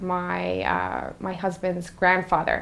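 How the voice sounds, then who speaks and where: Speaking at a very slow pace, a woman uses a medium pitch. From Newfoundland, Canada. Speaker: in-house corporate lawyer. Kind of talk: interview.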